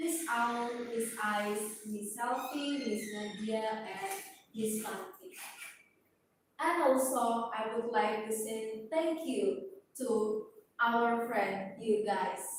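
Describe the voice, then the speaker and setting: At a very slow pace, a woman with a fairly high pitch sounds somewhat breathy. Her pitch varies in an ordinary way, and audible room echo is present. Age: 20s. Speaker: nursing student. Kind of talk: class presentation. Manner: halting.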